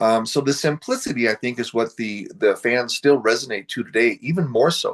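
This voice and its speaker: Speaking at a moderate pace with hardly any pauses, a man talks in an American accent. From US Pacific Northwest, Seattle area. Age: 60s. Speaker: horror film actor. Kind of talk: interview. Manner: casual, hesitant with many fillers.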